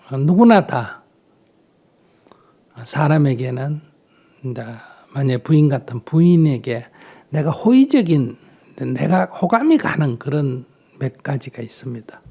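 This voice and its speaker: At a fairly slow pace, a man speaks in a fairly high, somewhat breathy voice with a dark, mellow tone and lively intonation. He leaves long, frequent pauses. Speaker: Buddhist monk. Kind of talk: dharma talk answering audience questions.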